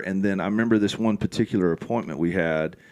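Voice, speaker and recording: An American-accented man at a moderate pace and fairly low pitch. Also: very clean recording, silent background. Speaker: pastor. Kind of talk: casual chat. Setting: studio.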